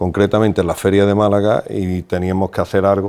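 In a quiet setting, a man delivers his words at a moderate pace with a fairly low pitch and monotone, flat intonation. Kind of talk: interview answer. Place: studio. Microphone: lapel.

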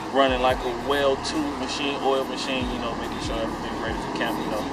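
A man is speaking. Music plays in the background. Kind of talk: casual vlog chat. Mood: relaxed, confident. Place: street. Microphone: phone near.

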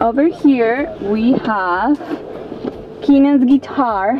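Her high-pitched voice comes through dry with no echo, though noticeable background noise is present. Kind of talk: casual vlog tour. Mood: playful and cheerful. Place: home room. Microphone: camera far.

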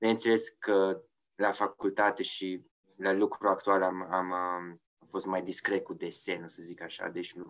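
Speaking at a fairly slow pace, a man with a very deep, low pitch keeps a monotone, flat intonation. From Romania, Oradea. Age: 30s. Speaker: yacht insurance sales executive and designer. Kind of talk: interview. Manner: hesitant, many fillers and repetitions.

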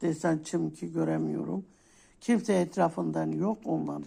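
A woman speaks very slowly in a warm tone. The recording is very clean, with a silent background. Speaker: coffee fortune teller YouTuber. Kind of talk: fortune telling monologue. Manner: warm, casual.

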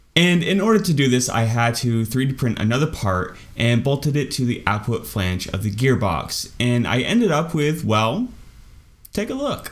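Intonation here is lively. A man talks at a moderate pace. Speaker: maker youtuber. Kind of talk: casual vlog tutorial. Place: home room.

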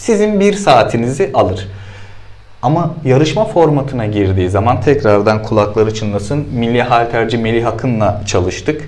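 Speaking with lively intonation, a man keeps to a moderate pace. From Turkey, Sakarya (Hendek); Turkey. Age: 30s. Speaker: CrossFit athlete; guest. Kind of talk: interview. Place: studio.

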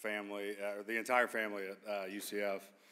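A man at a moderate pace. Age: 30s. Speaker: retired football player. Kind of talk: acceptance speech. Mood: grateful, reflective, a bit nervous. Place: hall. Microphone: podium.

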